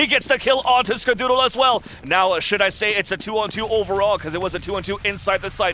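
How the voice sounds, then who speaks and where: A man with a high pitch talks at a very fast pace in a raised, projected voice with ordinary pitch variation. Music plays in the background. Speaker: esports commentator. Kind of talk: live commentary. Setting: live event venue near players.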